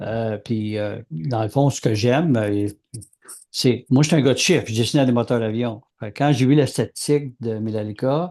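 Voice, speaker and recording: A man's medium-pitched voice with a dark, mellow tone, a moderate pace and ordinary pitch variation against a quiet background. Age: 60s. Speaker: podcast co-host, aircraft engine designer. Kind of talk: casual chat.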